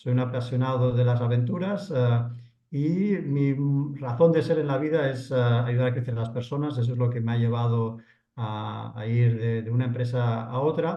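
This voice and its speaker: With audible room echo, a man speaks at a moderate pace in a dark, mellow, somewhat breathy tone, his medium pitch showing ordinary variation. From Spain, Barcelona. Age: 50s. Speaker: entrepreneur. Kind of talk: podcast interview. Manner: hesitant, many fillers.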